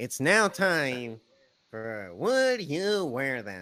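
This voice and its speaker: A man's put-on character voice, medium in pitch, delivered at a very slow pace with very wide pitch swings. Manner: funny voice, weird and silly.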